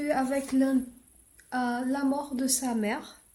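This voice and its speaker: A woman speaks at a high pitch with a dark, mellow tone. Room echo is audible. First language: not French; English is her best language (speaking French). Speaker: book vlogger. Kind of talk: casual book review vlog. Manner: halting, many hesitations.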